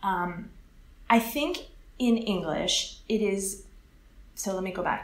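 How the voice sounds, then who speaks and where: A woman with an American accent and a medium pitch speaks at a very slow pace with long, frequent pauses and ordinary pitch variation, amid audible room echo and noticeable background noise. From California, US. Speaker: English teacher. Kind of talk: interview.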